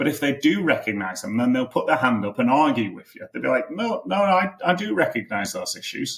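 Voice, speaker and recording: At a moderate pace, a man with a British accent talks with very wide pitch swings. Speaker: marketing coach for consultants. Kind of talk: podcast tutorial.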